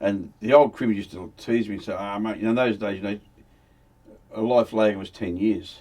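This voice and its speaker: A man speaks at a fairly quick pace in a fairly low, dark and mellow voice, his intonation fairly even while his loudness swings widely. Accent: Australian. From Australia, Victoria (Melbourne area). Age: 70s. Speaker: former criminal telling his life story. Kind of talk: casual interview storytelling.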